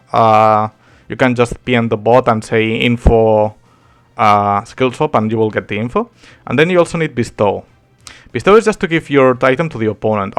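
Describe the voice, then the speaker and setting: A man at a medium pitch and moderate pace, with ordinary pitch variation and music in the background. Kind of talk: game tutorial talk. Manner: casual.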